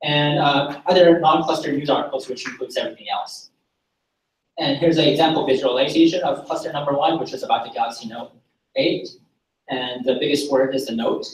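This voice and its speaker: A man's fairly high voice in a Korean accent, with fairly even intonation and a fairly quick pace. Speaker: data science graduate student. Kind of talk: project presentation. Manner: halting, with self-corrections.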